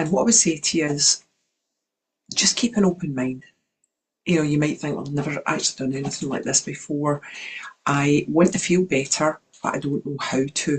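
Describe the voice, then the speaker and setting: Pausing long and often, a woman with a very deep, low pitch speaks at a moderate pace, somewhat breathy, with ordinary pitch variation. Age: 60s. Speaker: wellness coach. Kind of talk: online workshop talk.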